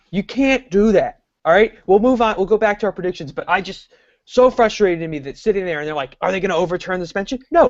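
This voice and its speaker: Moving at a very fast pace, the voice has an animated tone, lively intonation and big swings in loudness. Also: man, high pitch for a man. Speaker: sports podcast host. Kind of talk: casual chat.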